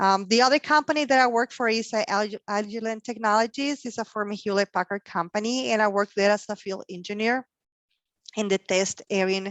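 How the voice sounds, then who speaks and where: With a Mexican accent, a woman talks at a moderate pace. Her pitch is fairly high, with ordinary variation. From Mexico, Sonora. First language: Spanish. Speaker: logistics professional. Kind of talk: career talk interview. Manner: halting, many fillers.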